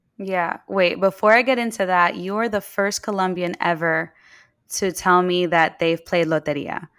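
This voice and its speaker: In a very clean recording with a silent background, a woman with an American accent uses an ordinary speaking voice at a medium pitch, speaking at a moderate pace with ordinary pitch variation. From New York City (Queens). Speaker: entrepreneur, game company founder. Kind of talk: casual chat.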